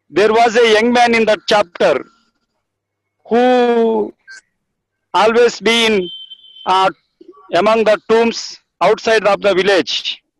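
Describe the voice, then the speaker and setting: Very slowly, with long, frequent pauses, a man speaks at a high pitch and fairly even intonation. His loudness stays very even, and the sound is dry and close with no echo. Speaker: village church minister. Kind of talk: testimony.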